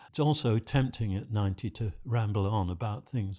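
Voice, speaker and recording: A man's somewhat breathy, fairly low voice with a British accent, ordinary pitch variation and a moderate pace. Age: 90s. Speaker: retired psychology professor. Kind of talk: podcast interview answer. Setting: studio.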